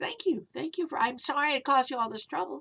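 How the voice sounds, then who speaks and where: A woman does a put-on character voice, pitched high. She talks at a very fast pace. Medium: read story.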